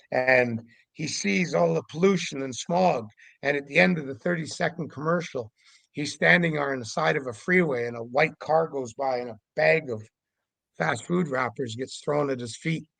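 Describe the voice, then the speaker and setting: In a normal speaking voice, a man talks at a fairly high pitch with lively intonation against a quiet background. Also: moderate pace. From Canada, Vancouver Island, British Columbia. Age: 60s. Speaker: Sasquatch investigator. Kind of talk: podcast interview monologue.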